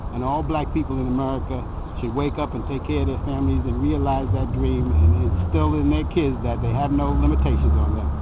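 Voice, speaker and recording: A man's very deep, low voice at a fairly quick pace and with fairly even intonation, against noticeable background noise and audible room echo. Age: 60s. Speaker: Marine Corps veteran. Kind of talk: street interview.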